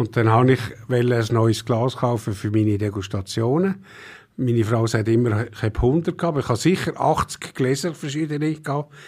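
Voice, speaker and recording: The recording is very clean, with a silent background. A man speaks in a somewhat breathy voice with ordinary pitch variation. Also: medium pitch for a man, moderate pace. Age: old. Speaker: wine expert. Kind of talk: casual chat.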